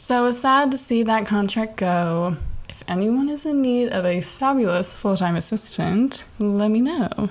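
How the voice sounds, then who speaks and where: Over noticeable background noise, a woman speaks fairly slowly at a fairly high pitch, with lively intonation and hardly any pauses. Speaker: podcast host and aspiring comedian. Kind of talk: monologue. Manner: animated.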